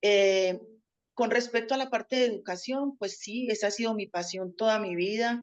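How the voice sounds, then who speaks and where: A woman's voice with a Colombian paisa accent, fairly even intonation and a moderate pace. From Colombia, Antioquia (paisa). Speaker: teacher. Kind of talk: interview.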